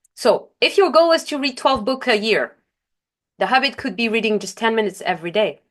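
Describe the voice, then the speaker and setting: Lively intonation marks this woman's speech, delivered at a fairly quick pace. She has a non-native accent. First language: not English. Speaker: life coach. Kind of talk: webinar presentation. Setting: online webinar. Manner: occasional self-corrections and fillers.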